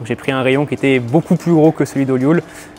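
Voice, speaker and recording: A man's fairly quick speech comes through with noticeable background noise behind it. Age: 20s. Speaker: store manager. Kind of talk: interview testimony.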